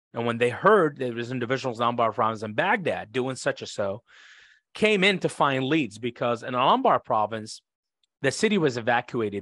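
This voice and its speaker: A man with an Iraqi accent talks at a fairly quick pace in a medium pitch, his intonation lively against a quiet background. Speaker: former interpreter and author. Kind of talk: interview, telling stories.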